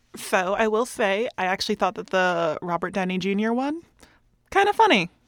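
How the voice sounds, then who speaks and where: A woman speaks at a medium pitch with lively intonation. The sound is dry and close, with no echo. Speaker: community radio co-host. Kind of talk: casual chat. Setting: radio studio. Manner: fluent, gets words out smoothly.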